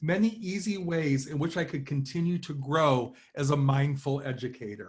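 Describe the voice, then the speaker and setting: A man is speaking. Room echo is audible. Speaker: professor. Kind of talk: conference talk. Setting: online conference from home. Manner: formal.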